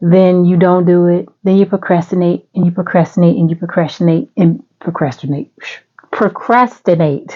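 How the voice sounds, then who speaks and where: A woman's fairly low voice at a moderate pace, with ordinary pitch variation and very even loudness. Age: 60s. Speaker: vlogger. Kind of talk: casual chat. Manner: animated.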